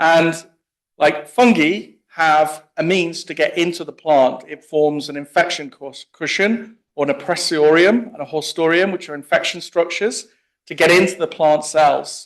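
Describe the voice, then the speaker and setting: A man's high voice in an English accent, with big swings in loudness, ordinary pitch variation and a moderate pace. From England. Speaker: plant pathologist. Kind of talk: conference talk. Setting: meeting room with audience.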